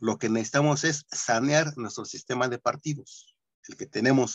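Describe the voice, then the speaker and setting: At a moderate pace, a man talks in a normal speaking voice, fairly high in pitch with ordinary variation, in a dry, close sound with no echo. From Nezahualcóyotl, State of Mexico. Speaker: workshop participant. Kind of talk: discussion. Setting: video call.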